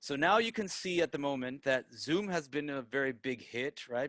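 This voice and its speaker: Against a quiet background, a man with an American accent talks at a fairly quick pace in a fairly high voice with ordinary pitch variation. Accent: American-sounding English. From Peru, raised in Tampa, Florida (US). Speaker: digital marketer and project founder. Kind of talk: online presentation to students. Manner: halting, many fillers and restarts.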